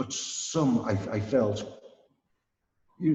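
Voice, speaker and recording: Somewhat breathy with a dark, mellow tone, a man speaks in a North Welsh accent amid audible room echo. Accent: north Welsh (Wrexham). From Wales, Wrexham area. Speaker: Shaolin monk and martial arts teacher. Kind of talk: casual interview. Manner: halting, many repetitions.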